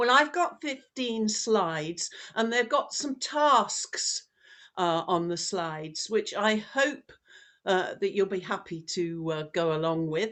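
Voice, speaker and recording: Against a quiet background, a woman at medium pitch talks at a very slow pace with very wide pitch swings. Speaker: professor. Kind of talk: lecture.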